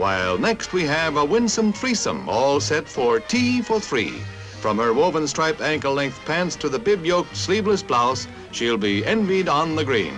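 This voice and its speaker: Music plays in the background as a man with a fairly high pitch makes very wide pitch swings while his loudness stays very even. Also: moderate pace. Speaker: newsreel narrator. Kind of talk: 1950s newsreel narration. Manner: brisk, authoritative.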